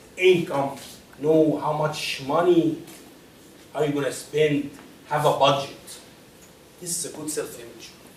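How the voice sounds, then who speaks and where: A man with a non-native accent speaks at a fairly slow pace. There is noticeable background noise and audible room echo. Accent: foreign. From Egypt. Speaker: personal finance speaker. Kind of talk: lecture.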